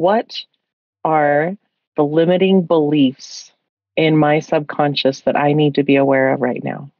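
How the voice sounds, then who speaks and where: Speaking at a fairly slow pace, a woman has a very deep, low pitch, with a dry sound free of echo and a quiet background. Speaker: podcast host. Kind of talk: interview. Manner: animated. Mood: calm, warm, reflective. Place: home room. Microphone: studio mic.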